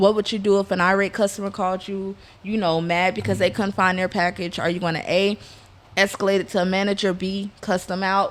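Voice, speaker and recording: A woman with an American accent speaks at a medium pitch and a fairly quick pace. Her intonation is monotone and flat. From US South. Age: 20s. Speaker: entrepreneur. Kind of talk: casual chat.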